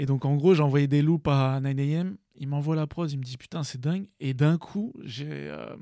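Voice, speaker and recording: A man's dark, mellow tone pitched fairly high, at a fairly slow pace with hardly any pauses. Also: ordinary pitch variation. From Paris region, Seine-Saint-Denis. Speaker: beatmaker, music producer. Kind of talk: casual interview chat.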